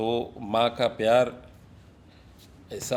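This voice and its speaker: The man speaks at a medium pitch. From Mumbai, India. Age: 60s. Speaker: businessman and social worker. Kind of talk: podcast interview. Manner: reflective, with fillers.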